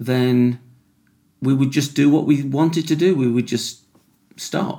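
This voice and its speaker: With a British accent, a man speaks at a fairly slow pace in a dark, mellow tone and a fairly high pitch. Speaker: podcast host, addiction recovery worker.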